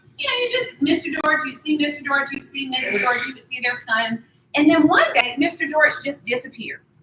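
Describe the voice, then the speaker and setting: In a slight Southern US accent, a woman speaks at a fairly quick pace in a raised, projected voice, her high pitch, bright, sharp tone and lively intonation all standing out. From US South, Durham, North Carolina. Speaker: accounting professor. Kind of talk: lecture.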